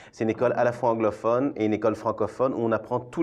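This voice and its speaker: There's a man with a Belgian accent and medium pitch. The background is quiet. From Belgium, Brussels. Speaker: theatre artistic director. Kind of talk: interview.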